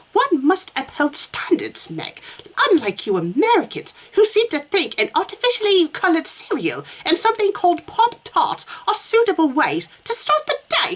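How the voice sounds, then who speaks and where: In a put-on character voice, the speaker talks at a moderate pace in an extremely high pitch. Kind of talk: prim, upper-class. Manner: pompous, condescending.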